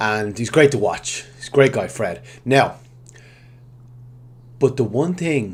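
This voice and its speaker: A man speaks with an Irish accent. His voice is somewhat breathy. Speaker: digital marketing consultant. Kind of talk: tutorial. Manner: halting.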